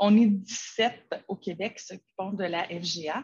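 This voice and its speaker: A woman's somewhat breathy, fairly high voice. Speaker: educational technology advisor. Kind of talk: webinar presentation.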